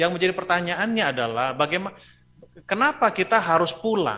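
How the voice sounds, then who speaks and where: At a fairly quick pace, a man speaks in a high, bright, sharp voice with an animated tone and lively intonation. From Bandung, West Java (ethnic Batak). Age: 50s. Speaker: pastor. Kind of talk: sermon. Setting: church, streamed online.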